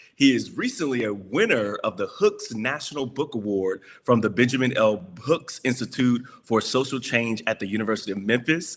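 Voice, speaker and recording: With an American accent, a man speaks at a moderate pace and medium pitch in an unremarkable speaking voice, on a very clean recording with a silent background. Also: ordinary pitch variation. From Texas. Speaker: interviewer. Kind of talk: interview.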